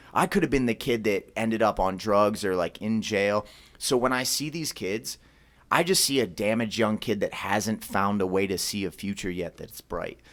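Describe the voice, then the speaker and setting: A man with an American accent speaks at a moderate pace in an unremarkable speaking voice, fairly low in pitch with ordinary pitch variation. The recording is very clean, with a silent background. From Philadelphia, US. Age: 30s. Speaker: martial arts gym owner. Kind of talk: podcast interview.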